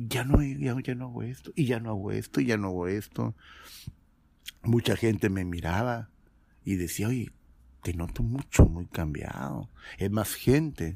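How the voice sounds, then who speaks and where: A man's fairly low, dark, mellow voice with lively intonation, a fairly slow pace and long, frequent pauses. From Mexico. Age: 50s. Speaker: former pastor. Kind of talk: testimony.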